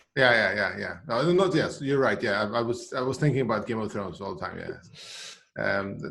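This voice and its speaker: A man with a Swedish accent speaks fairly quickly at a medium pitch, with hardly any pauses. His tone is bright and sharp, his intonation lively, and the room echo is audible. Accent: special regional Swedish. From Sweden, island of Gotland. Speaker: CRM professional. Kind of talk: casual interview chat.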